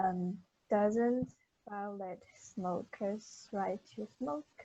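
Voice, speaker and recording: At a very slow pace, a woman talks in a somewhat breathy voice of medium pitch. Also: ordinary pitch variation. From China. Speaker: university student. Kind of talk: class group discussion.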